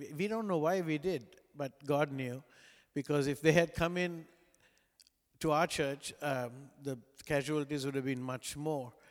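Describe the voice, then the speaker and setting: Against a very clean recording with a silent background, a man with a Sri Lankan accent speaks at a moderate pace and fairly high pitch, with long, frequent pauses. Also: ordinary pitch variation. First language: non-English (Sri Lankan language). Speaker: pastor. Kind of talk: sermon. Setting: church.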